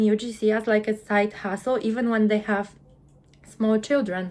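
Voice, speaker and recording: Speaking with a Polish accent, a woman keeps a moderate pace. Her pitch is fairly high. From Poland. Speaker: UGC content creator. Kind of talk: interview.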